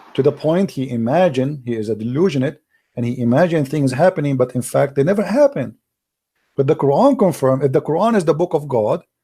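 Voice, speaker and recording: A man talks at a very fast pace with lively intonation and a fairly high pitch. His tone is dark and mellow, and somewhat breathy. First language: Arabic. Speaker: religious debater. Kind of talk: heated debate. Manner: animated.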